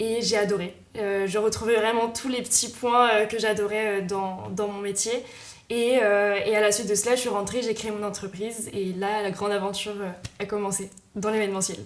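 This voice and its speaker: In a room with audible echo and noticeable background noise, a woman of medium pitch speaks at a moderate pace in a monotone, flat intonation. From Brittany, Rennes. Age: 20s. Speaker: entrepreneur, event manager. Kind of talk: interview. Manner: hesitant, many filler sounds.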